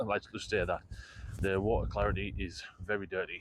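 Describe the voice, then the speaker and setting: The pace sits in the middle range. This man talks in a British accent. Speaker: fishing vlogger. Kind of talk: casual vlog to camera. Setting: outdoors on a pier. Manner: upbeat, chatty.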